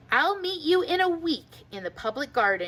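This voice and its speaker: A woman's high, put-on character voice with very wide pitch swings at a moderate pace. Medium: read story. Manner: polite, quacking.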